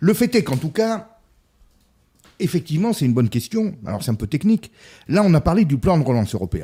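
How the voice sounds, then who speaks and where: Long, frequent pauses break up this man's fairly quick speech. His tone is dark and mellow, his pitch fairly high, with very wide pitch swings. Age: 50s. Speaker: business consultant and essayist. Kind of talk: casual political discussion.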